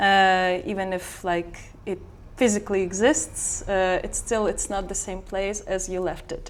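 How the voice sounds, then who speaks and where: With a Belarusian accent, a woman speaks at a fairly slow pace and medium pitch, her intonation fairly even. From Belarus, Minsk. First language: Belarusian or Russian. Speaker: sound artist. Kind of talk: interview. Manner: halting.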